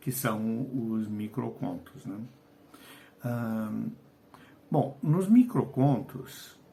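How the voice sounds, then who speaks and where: Very slow and somewhat breathy, a man talks at a medium pitch with ordinary pitch variation. His speech has long, frequent pauses. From Portugal, Lisbon. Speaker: writer and educator. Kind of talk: video lesson. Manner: hesitant, with fillers.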